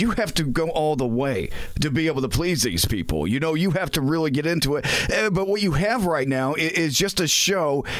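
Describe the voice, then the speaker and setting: Against noticeable background noise, a man speaks in a high pitch with very wide pitch swings. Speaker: traffic reporter. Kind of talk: casual chat.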